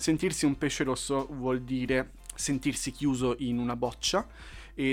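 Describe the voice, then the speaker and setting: A man talks at a moderate pace in a medium pitch. His intonation is monotone and flat, with music playing in the background. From Lombardy, northern Italy. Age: 20s. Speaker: novelist and podcaster. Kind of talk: casual monologue. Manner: hesitant, frequent fillers.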